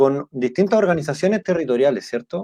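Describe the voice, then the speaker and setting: A man with a Chilean accent talks at a fairly quick pace, his fairly high voice dark and mellow in tone. His pitch varies in an ordinary way, and the sound is dry and close with no echo. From south-central Chile. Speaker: podcast host. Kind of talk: live interview.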